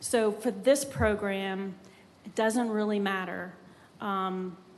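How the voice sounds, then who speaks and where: The voice moves at a very slow pace with fairly even intonation, and audible room echo surrounds it. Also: woman, medium pitch for a woman. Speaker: city grants staff presenter. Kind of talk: public meeting presentation and Q&A. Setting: city commission chambers.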